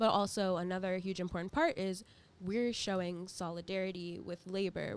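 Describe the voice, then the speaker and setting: A woman with an American accent speaks in an ordinary speaking voice at medium pitch and a moderate pace, her intonation fairly even, on a very clean recording with a silent background. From US South, Orlando, Florida. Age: 20s. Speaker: climate activist and student. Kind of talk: casual interview. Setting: radio studio.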